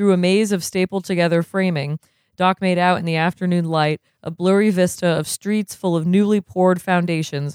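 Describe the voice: Over a quiet background, this is plain reading aloud with fairly even intonation.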